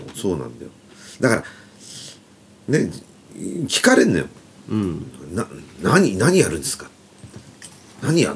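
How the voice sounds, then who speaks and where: With very wide pitch swings, a man speaks at a moderate pace. He takes long, frequent pauses over noticeable background noise. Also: fairly low pitch for a man, big swings in loudness. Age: 50s. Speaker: band guitarist and podcast host. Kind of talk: casual chat.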